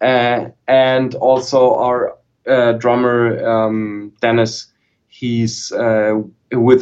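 Speaking in a flat monotone with a German accent, a man keeps a medium pitch. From southern Germany. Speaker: guitarist and guitar YouTuber. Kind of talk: casual chat. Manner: halting, repeats words.

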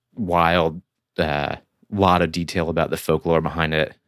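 In a very clean recording with a silent background and a dry, close sound with no echo, a man with an American accent talks in a very deep, low pitch. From Michigan, near Flint. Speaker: filmmaker and zine creator. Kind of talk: casual chat.

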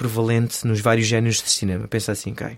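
A medium-pitched man speaks with monotone, flat intonation. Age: 30s. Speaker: stunt performer and stunt coordinator. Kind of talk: casual interview.

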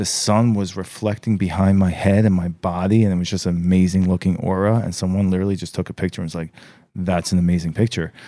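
Very deep, low male voice in an American accent, dark and mellow, very fast and monotone with flat intonation, on a very clean recording with a silent background. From New York. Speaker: podcast host. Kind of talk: casual chat.

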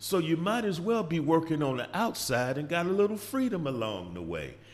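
At a moderate pace, a man with a fairly high pitch and vocal fry moves through very wide pitch swings. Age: 50s. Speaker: podcast host. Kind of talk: monologue. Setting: studio. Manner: animated.

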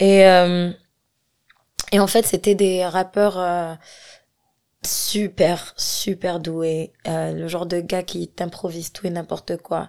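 A woman's very slow, flat, monotone delivery, with long and frequent pauses, big swings in loudness, and a very clean recording with a silent background. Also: fairly low pitch for a woman. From Algeria, Algiers. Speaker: singer and rapper. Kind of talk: casual interview chat. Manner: hesitant, many fillers.

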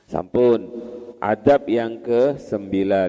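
Here a man at medium pitch speaks at a very slow pace. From Madura, Indonesia. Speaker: Islamic boarding school teacher (kiai). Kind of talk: religious lecture, classical text study.

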